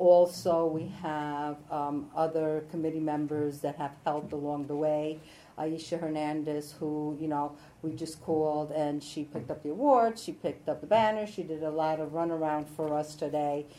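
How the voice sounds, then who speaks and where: At a moderate pace, a woman speaks with a very deep, low pitch and fairly even intonation. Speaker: judge. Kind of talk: ceremony speech. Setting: stage with audience.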